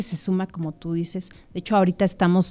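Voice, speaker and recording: Her words come out very fast. The woman's voice sits at a medium pitch. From Mexico, Michoacán. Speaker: entrepreneur. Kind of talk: casual chat. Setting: studio.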